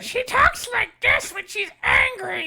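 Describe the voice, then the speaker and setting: The speaker puts on a character voice. It sits at an extremely high pitch and goes at a fairly slow pace. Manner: talking through clenched teeth.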